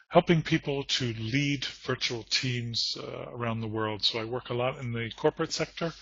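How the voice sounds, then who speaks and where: A plain, everyday voice from a man with an American accent, at a moderate pace with hardly any pauses and big swings in loudness. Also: medium pitch for a man, ordinary pitch variation. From United States. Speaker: corporate trainer and lecturer. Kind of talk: conference presentation.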